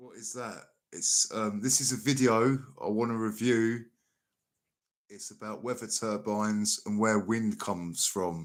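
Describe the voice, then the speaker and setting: A man with a South London accent speaks at a fairly slow pace, with big swings in loudness, on a very clean recording with a silent background. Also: medium pitch for a man. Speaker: livestream reaction host. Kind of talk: casual livestream commentary. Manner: animated.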